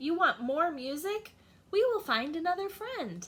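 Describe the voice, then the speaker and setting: Someone performs a put-on character voice at a moderate pace. The pitch swings very widely. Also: woman, extremely high pitch for a woman. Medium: read story. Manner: eager, oblivious.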